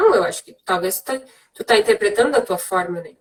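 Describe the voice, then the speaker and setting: A woman's voice with lively intonation. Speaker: psychologist. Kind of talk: live interview conversation. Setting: Instagram live video call.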